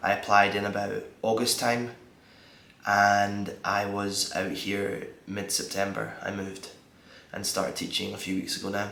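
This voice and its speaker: A man with a Scottish accent, fairly low in pitch, flat and monotone, at a fairly slow pace with audible room echo. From Scotland. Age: 20s. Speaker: vlogger and English teacher. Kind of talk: casual vlog talk. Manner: halting, many fillers.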